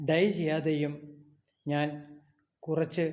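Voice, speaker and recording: A man with a fairly high pitch talks in a dark, mellow tone with monotone, flat intonation. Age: 60s. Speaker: vlogger. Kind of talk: personal vlog monologue. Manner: halting.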